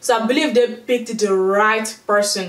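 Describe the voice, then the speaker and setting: A woman speaks with a fairly high pitch and fairly even intonation. There is audible room echo and noticeable background noise. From Nigeria. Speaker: YouTube movie reviewer. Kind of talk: casual vlog review. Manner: hesitant, many filler words.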